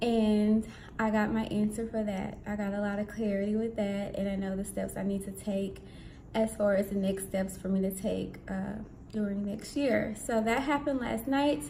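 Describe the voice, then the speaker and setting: A soft-spoken woman is heard with audible room echo. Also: medium pitch for a woman, fairly even intonation. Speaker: vlogger on spiritual fasting. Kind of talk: casual vlog. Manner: slow.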